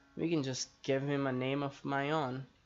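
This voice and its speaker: A man talks at a very slow pace. Music plays in the background. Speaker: gamer narrating gameplay. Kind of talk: gameplay commentary.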